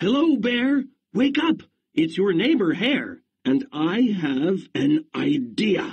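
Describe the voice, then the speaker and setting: A man uses a put-on character voice, high for a man, at a very slow pace. His pitch swings very widely. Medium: read story. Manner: cheerful, persuasive.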